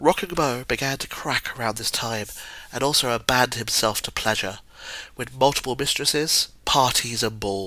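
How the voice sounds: Natural reading voice, pitch shifting in an ordinary way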